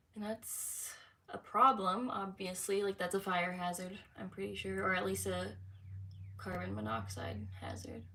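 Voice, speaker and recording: A woman talks at a moderate pace with an American accent. Noticeable background noise runs underneath. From San Francisco, California. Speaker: lifestyle vlogger. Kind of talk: casual livestream chat. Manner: hesitant, verbal slips.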